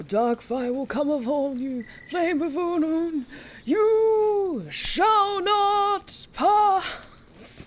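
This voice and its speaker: An extremely high-pitched put-on character voice at a very slow pace. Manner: dramatic, commanding.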